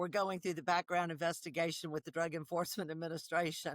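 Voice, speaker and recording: A woman with a Southern US accent in a dry, close sound with no echo. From South Carolina, US South. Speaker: nonprofit founder, traumatic stress expert. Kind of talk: podcast interview.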